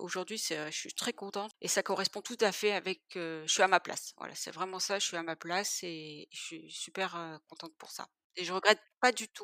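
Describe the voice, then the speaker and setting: Her medium-pitched voice bright and sharp, a woman speaks at a moderate pace with fairly even intonation, big swings in loudness and hardly any pauses, in a dry, close sound with no echo. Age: 40s. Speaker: web developer, former nurse. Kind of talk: interview testimony.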